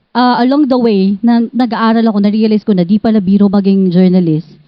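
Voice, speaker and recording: Here a woman talks at a fairly quick pace. She has a plain, everyday voice, fairly high in pitch. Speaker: journalist. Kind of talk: interview.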